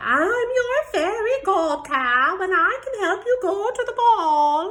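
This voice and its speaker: Using a put-on character voice, a woman speaks at a fairly slow pace with extremely high pitch. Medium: read story.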